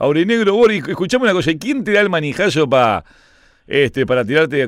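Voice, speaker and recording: This man has a Uruguayan accent and an animated tone. He talks at a fairly quick pace. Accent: Rioplatense Spanish (Uruguayan). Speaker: sports radio host. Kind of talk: casual chat.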